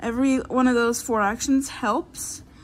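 A woman with a high pitch speaks in an American accent. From Florida. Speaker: YouTuber; vlogger. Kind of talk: casual chat. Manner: halting. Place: home room. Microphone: phone near.

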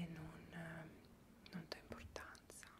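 A woman speaks. She is whispering. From Piedmont, Italy. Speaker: ASMR creator. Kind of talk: interview answer. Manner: whispered. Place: home room. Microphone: earbuds.

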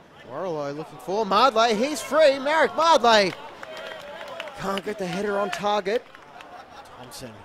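A man's high voice at a fairly slow pace, with very wide pitch swings, big swings in loudness, long, frequent pauses and crowd noise in the background. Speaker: football commentator. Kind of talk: live football commentary, play-by-play. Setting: stadium match broadcast. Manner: breathless, calls shots and saves as they happen.

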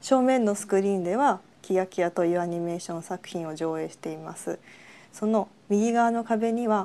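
A woman's medium-pitched voice, dark and mellow, with ordinary pitch variation and a fairly quick pace. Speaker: artist. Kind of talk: artist commentary.

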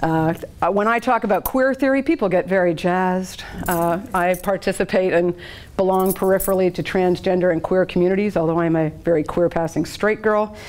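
At a fairly quick pace, a woman talks in a medium pitch with ordinary pitch variation. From Canada. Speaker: therapist and social justice activist. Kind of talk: panel presentation. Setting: live panel with audience. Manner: animated, joking. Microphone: handheld.

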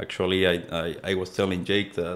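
A man with a Spanish accent speaks in a very deep, low pitch. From Nicaragua. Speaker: mortgage broker; podcast guest. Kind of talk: casual interview. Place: studio. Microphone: studio mic.

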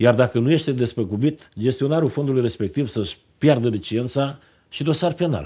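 A man talks with a dark, mellow tone. His pitch varies in an ordinary way. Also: moderate pace, quiet background. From Romania, Moldavia region (Bacău county); Moldavia, Romania. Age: 50s. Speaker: politician, member of parliament; politician. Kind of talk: TV interview. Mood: earnest, persuasive. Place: studio.

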